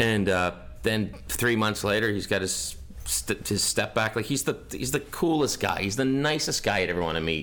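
A man speaks in a Canadian accent with lively intonation and vocal fry. He keeps a moderate pace. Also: fairly low pitch for a man. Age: 40s. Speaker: sports author. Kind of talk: interview. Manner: conversational storytelling.

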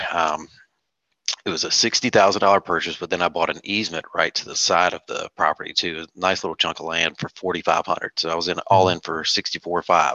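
A man's very deep, low voice in a Southern US accent, very fast, with fairly even intonation. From North Carolina. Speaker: real estate investor. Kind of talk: interview. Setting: video call.

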